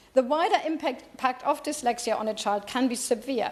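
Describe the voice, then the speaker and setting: With a German accent, a woman speaks at a high pitch and a moderate pace, her pitch varying in an ordinary way. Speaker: member of parliament. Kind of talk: parliamentary debate speech. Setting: parliament chamber. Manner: halting.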